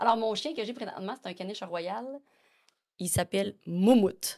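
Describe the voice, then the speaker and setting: Her voice fairly high and animated, a woman with a Quebec accent speaks at a moderate pace with lively intonation and long, frequent pauses, on a very clean recording with a silent background. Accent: Québécois French. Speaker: podcast guest. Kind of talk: casual chat. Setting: studio.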